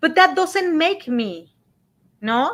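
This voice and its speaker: On a very clean recording with a silent background, a woman with a Spanish accent speaks at a fairly slow pace, her pitch swinging very widely. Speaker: radio show co-host. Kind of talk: casual chat.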